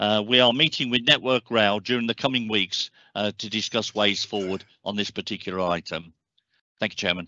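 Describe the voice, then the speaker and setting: A man with a plain, everyday voice at fairly low pitch talks at a fairly quick pace with ordinary pitch variation, in a dry sound with no echo against a quiet background. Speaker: local councillor. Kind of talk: formal meeting. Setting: video call. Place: home room. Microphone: headset.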